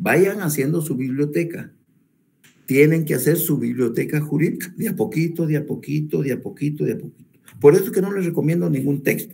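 Vocal fry at a fairly quick pace, with ordinary pitch variation and audible room echo. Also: man, fairly high pitch for a man. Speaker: law professor. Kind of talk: lecture. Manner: repetitive, stumbling restarts.

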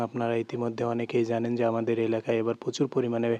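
A man speaks at a medium pitch. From Bangladesh, Naogaon (Atrai). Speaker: vlogger. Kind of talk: vlog narration. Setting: outdoors by floodwater.

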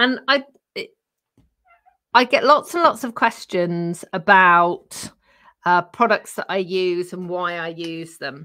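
In a British accent, a woman speaks at a very slow pace with long, frequent pauses, lively intonation, a bright, sharp tone and big swings in loudness against a quiet background. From UK. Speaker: craft channel host. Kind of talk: casual chat with crafting demo. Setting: live stream from home craft room. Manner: chatty, with frequent laughs. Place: home room.

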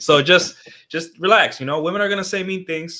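A man is speaking with a bright, sharp tone. His pitch varies in an ordinary way.

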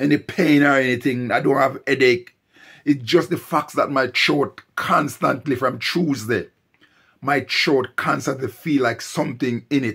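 Against a quiet background, a man speaks at a fairly slow pace with fairly even intonation. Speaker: vlogger. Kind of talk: casual vlog chat. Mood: unwell, describing a throat complaint. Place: home room. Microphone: phone near.

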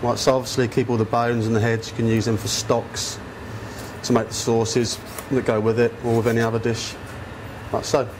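Noticeable background noise sits behind a man speaking at a fairly quick pace. His intonation is flat and monotone. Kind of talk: cooking tutorial. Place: kitchen.

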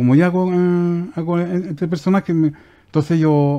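A man speaks with a dark, mellow tone and ordinary pitch variation. The background is quiet. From Chile, Aconcagua Valley (Curimón); Chile. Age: 50s. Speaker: woodworking craftsman; guest. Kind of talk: casual interview. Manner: halting. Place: studio. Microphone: headset.

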